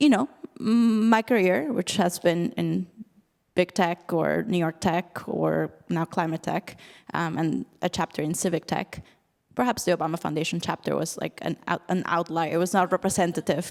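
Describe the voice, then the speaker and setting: A woman's fairly low voice with vocal fry, ordinary pitch variation and a moderate pace, on a very clean recording with a silent background and a dry, close sound with no echo. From Latin America (Peru). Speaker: panelist, climate tech professional. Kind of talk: panel discussion. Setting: stage with audience.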